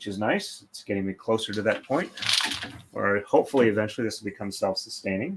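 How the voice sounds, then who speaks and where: A man talks quietly at a very fast pace. His loudness swings widely. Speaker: craft livestreamer, braider. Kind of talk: live stream chat while braiding. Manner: hesitant, many fillers.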